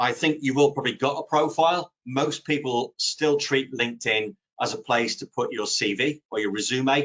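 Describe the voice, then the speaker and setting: Speaking at a moderate pace, a man uses a fairly high pitch with ordinary variation. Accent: British. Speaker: social media consultant. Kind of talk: webinar presentation. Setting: online webinar. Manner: conversational with fillers.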